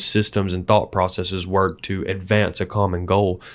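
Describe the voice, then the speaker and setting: A man has a normal speaking voice, moving at a moderate pace with fairly even intonation. The recording is very clean, with a silent background. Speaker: podcast host. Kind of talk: interview. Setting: in person.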